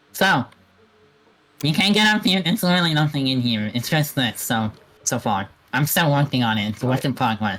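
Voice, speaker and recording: In a put-on character voice at a low-to-middle pitch, the speaker moves at a fairly quick pace with long, frequent pauses. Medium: machinima. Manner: teasing, laughing.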